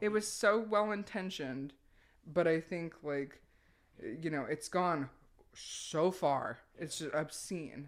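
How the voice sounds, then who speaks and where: A woman talks very slowly at a very deep, low pitch, on a very clean recording with a silent background. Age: 30s. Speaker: adult film actress and director. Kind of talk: casual chat. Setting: her home office.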